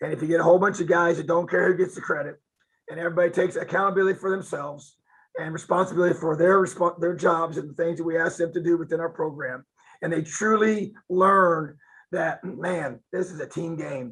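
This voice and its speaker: Talking at a very fast pace, a man speaks at a high pitch. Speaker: college football head coach. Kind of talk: interview.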